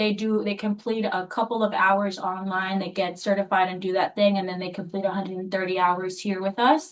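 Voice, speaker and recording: Here is a plain, everyday voice. It keeps a moderate pace. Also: woman. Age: 20s. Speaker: pharmacy technician and applicant's daughter. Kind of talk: licensing hearing testimony and interpreting.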